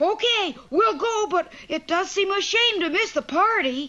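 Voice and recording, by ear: An extremely high-pitched cartoonish character voice talks at a moderate pace.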